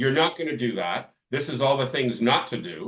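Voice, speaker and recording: A man speaks in an animated tone with a Canadian accent. His pitch sits at a medium level. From Canada, Toronto. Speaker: business coach for lawyers. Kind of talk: podcast interview. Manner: animated, repetitive restarts.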